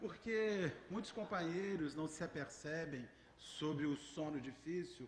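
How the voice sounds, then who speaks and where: A man's ordinary pitch variation is heard through audible room echo and noticeable background noise. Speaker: spiritist lecturer. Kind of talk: religious lecture. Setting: spiritist center hall with audience. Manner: halting.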